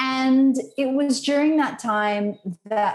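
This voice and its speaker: A woman speaks in an Australian accent with lively intonation. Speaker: conservation lobbyist. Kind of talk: interview conversation.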